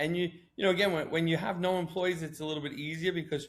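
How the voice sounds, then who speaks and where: A loud, animated man at a fairly high pitch, talking at a very fast pace. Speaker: marketing agency founder. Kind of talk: interview.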